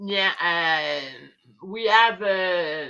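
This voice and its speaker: The speaker has a French Canadian accent, a bright, sharp tone and lively intonation. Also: woman. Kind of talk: casual chat. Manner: halting.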